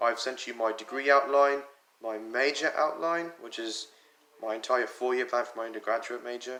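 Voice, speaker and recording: A man at a medium pitch, moderate pace and fairly even intonation. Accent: slight British. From US, North Carolina, Punjabi family. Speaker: college student. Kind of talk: personal explanatory video message. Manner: casual, conversational.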